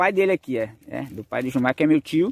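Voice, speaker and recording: With a normal speaking voice, a man talks at a moderate pace and a fairly high pitch with lively intonation, in a dry sound with no echo and light background noise. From rural Brazil, cacao region. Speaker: farming YouTuber. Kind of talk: casual vlog narration. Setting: outdoors on a farm. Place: forest. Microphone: phone near.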